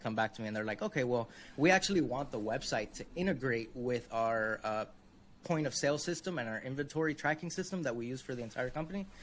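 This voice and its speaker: A man with a Spanish accent at a medium pitch, talking at a very fast pace with ordinary pitch variation. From Miami, Florida. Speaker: web design consultant. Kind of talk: interview.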